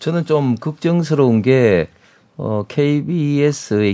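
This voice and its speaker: A man talks with lively intonation. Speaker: politician. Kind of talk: heated debate. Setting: studio. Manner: halting, many filler sounds.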